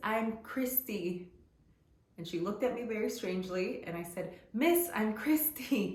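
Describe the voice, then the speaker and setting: Through noticeable background noise and audible room echo, a woman speaks at a fairly slow pace with lively intonation. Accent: Spanish. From US, Guatemalan immigrant family. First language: Spanish. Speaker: lifestyle vlogger. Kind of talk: personal storytelling vlog. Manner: casual, conversational with fillers.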